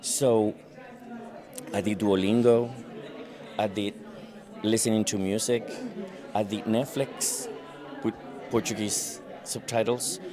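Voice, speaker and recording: A man with a Spanish accent speaks fairly slowly, leaving long, frequent pauses. His fairly low voice keeps a fairly even intonation, with crowd noise in the background. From Venezuela. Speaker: recruiter. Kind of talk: street interview. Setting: conference.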